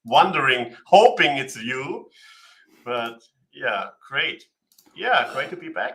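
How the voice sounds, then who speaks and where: Lively in intonation, a man speaks at a very slow pace. Long, frequent pauses break up his speech, and his loudness swings widely. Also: fairly high pitch for a man. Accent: German. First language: German. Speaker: livestream co-host. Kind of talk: casual live Q&A chat.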